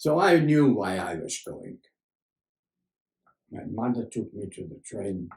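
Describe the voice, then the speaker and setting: Somewhat breathy, with a dark, mellow tone, a man speaks at a medium pitch and a fairly slow pace with lively intonation. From Germany. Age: 80s+. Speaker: journalist and Holocaust survivor. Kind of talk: interview answer.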